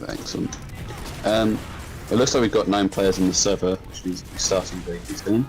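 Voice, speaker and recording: Music plays behind a man with a fairly low pitch and ordinary pitch variation. His loudness swings widely, and he leaves long, frequent pauses. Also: fairly quick pace. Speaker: esports caster. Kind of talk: live commentary.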